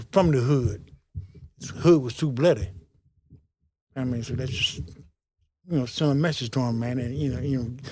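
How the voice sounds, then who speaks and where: A man with a dark, mellow tone speaks with long, frequent pauses. His pitch moves in an ordinary way. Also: medium pitch for a man, moderate pace. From Portsmouth, Virginia. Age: 70s. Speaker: former prisoner. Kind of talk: interview. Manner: halting.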